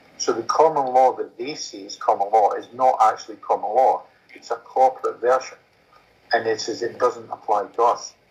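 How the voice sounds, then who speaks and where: A man talks with a Scottish accent. His loudness swings in big ways. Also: moderate pace. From Scotland. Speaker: common law court representative. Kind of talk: Q&A in online meeting.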